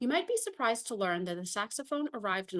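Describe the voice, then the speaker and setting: A woman with an American accent and very wide swings in pitch. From US, Virginia (Fairfax). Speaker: saxophonist and PhD researcher. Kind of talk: conference presentation. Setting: conference hall with audience. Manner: formal.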